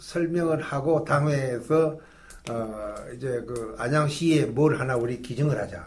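Amid audible room echo, a man with a fairly high pitch sounds somewhat breathy, his pitch varying in an ordinary way. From Gyeongsang region, South Korea (Gyeongju, Pohang). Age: 80s+. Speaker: retired pastor. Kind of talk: interview storytelling.

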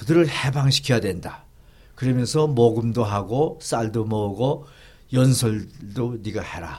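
At a fairly slow pace, a man speaks in a medium-pitched, somewhat breathy voice. His loudness swings widely. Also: ordinary pitch variation. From North Korea (Gangwon, Tongcheon). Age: 80s+. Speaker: pastor and theologian. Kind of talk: interview, life story.

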